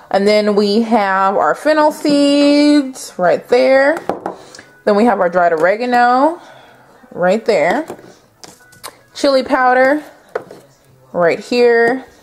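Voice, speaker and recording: Faint music plays behind a woman with a high pitch. She speaks at a very slow pace with long, frequent pauses. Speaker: home cook vlogger. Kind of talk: casual vlog chat. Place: kitchen. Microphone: phone near.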